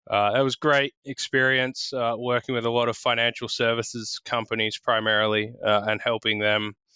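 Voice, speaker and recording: With an Australian accent, a man talks at a moderate pace in a medium pitch, his bright, sharp tone held monotone and flat, recorded dry and close with no echo. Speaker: tech partnerships executive. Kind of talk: podcast interview. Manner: casual, frequent filler words.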